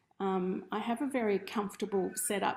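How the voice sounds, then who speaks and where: Here a woman speaks in an Australian accent at a moderate pace. Her pitch is medium and her intonation fairly even. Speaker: ceramic artist teaching a workshop. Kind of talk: online workshop presentation. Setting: studio room, streamed over video call.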